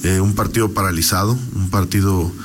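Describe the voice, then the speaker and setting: With audible room echo and noticeable background noise, a man talks at a moderate pace in a fairly low pitch, his pitch varying in an ordinary way. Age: 30s. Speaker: politician. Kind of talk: radio interview.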